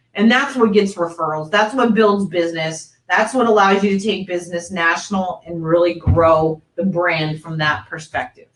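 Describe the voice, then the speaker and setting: Hardly pausing, a woman with a normal speaking voice talks at a fairly low pitch and moderate pace with ordinary pitch variation. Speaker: mortgage industry presenter. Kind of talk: webinar presentation. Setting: online webinar.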